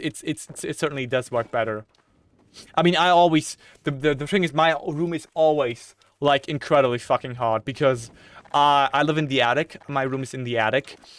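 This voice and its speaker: Speaking with a British accent, a man talks at a moderate pace in a fairly high pitch with ordinary variation, the sound dry and close with no echo. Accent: British-sounding English. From Germany. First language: German. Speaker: gaming streamer. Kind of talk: casual chat while gaming on live stream. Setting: attic bedroom with PC running. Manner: repetitive, stammering restarts.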